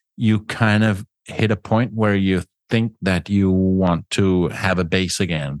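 A man talks with a Danish accent and ordinary pitch variation. The background is quiet. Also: dry, close sound with no echo. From Denmark. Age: 50s. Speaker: travel podcaster and radio host. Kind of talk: interview. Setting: remote call.

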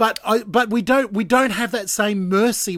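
The speaker is a man with an Australian accent. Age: 40s. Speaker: breakfast radio host. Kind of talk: casual chat. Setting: Skype call.

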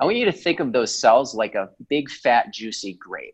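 A normal speaking voice from a man, medium in pitch, at a moderate pace and with lively intonation. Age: 40s. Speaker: chiropractor and health coach. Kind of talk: podcast interview.

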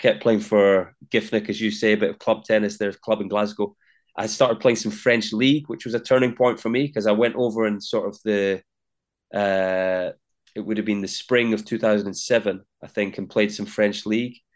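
In a Scottish accent, a man talks at a moderate pace with a fairly low pitch. His intonation is monotone and flat, set against a quiet background. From Scotland, Linlithgow. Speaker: tennis commentator and former player. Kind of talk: interview. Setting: in Melbourne, Australia.

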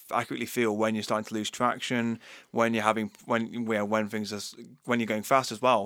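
A medium-pitched man at a very fast pace in a flat monotone, captured in a very clean recording with a silent background. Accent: Yorkshire. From Yorkshire, England. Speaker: co-host. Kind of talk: casual chat. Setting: studio.

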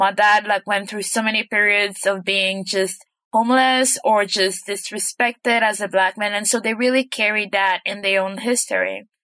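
At a moderate pace with hardly any pauses, a woman speaks in a bright, sharp tone at medium pitch with ordinary pitch variation, in a dry, close sound with no echo against a quiet background. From Belgium, Congolese family. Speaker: storytelling coach. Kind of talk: interview.

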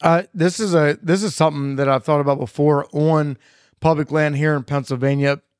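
On a very clean recording with a silent background and a dry, close sound with no echo, a man talks in an ordinary speaking voice, fairly high in pitch, with fairly even intonation at a fairly quick pace. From Maryland. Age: 30s. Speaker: podcast host. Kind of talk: casual chat. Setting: studio.

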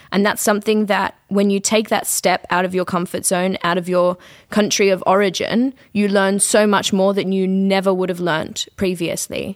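A woman speaks at a moderate pace with an Australian accent and monotone, flat intonation. The recording is very clean, with a silent background. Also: medium pitch for a woman. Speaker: student teacher. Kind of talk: panel discussion.

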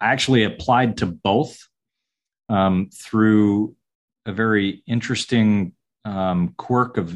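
A man with an American accent has a plain, everyday voice at a fairly low pitch. His loudness stays very even, and the background is quiet. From US South (southern Georgia). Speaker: architect. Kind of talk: interview.

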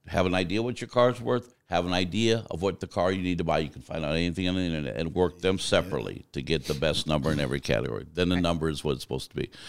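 A man with a very deep, low pitch and vocal fry talks very fast in an American accent, with hardly any pauses. His tone is animated and his intonation lively, on a very clean recording with a silent background. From US Southwest (Arizona). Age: 50s. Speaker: truck driver and driver trainer. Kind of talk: interview conversation. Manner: animated storyteller.

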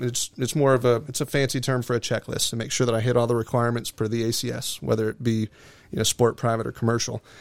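With an American accent, this man has an unremarkable speaking voice at medium pitch and fairly even intonation. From US, Florida (Venice, Sarasota County). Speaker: seaplane flight school owner and pilot examiner. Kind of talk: casual interview.

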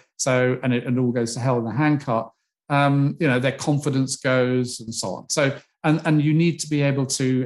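A man speaks at a moderate pace and a medium pitch, recorded very cleanly against a silent background. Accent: British. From UK. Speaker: retired psychology professor. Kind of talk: interview. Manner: animated.

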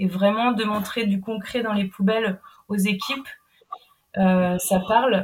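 Her pitch is medium and her voice somewhat breathy. This woman speaks at a very slow pace with long, frequent pauses. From Brittany, France. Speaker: anti-food-waste project manager. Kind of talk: interview. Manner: halting.

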